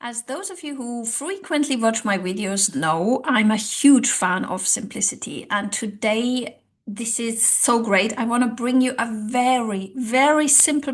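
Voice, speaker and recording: Speaking at a fairly slow pace, a woman with a non-native accent has a fairly high pitch and ordinary pitch variation. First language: not English. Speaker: language coach and social psychologist. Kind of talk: online tutorial. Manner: conversational with hesitations.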